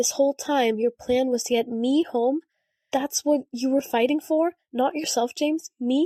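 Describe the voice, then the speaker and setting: Putting on a character voice, a woman speaks in a high, raspy tone at a moderate pace, her loudness very even throughout. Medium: read story.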